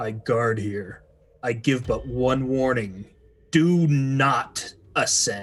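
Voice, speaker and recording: Putting on a character voice, a man booms at a medium pitch and a very slow pace. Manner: warning, ominous.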